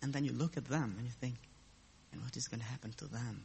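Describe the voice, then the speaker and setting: The speaker sounds somewhat breathy and has a non-native accent. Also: man. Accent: foreign. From abroad, a different country. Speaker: lay preacher. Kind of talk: sermon.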